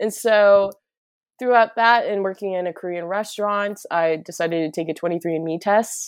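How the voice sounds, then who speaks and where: Here a woman has a plain, everyday voice at a medium pitch. She talks at a fairly quick pace with ordinary pitch variation. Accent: American. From US Midwest, northern Minnesota. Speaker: musician and Korean adoptee. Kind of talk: casual interview.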